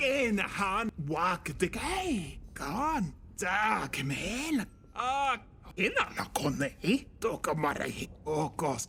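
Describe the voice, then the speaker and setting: A man's high put-on character voice with very wide pitch swings at a very slow pace, over clear background noise. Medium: video game. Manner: nonsense speech with German-like sounds.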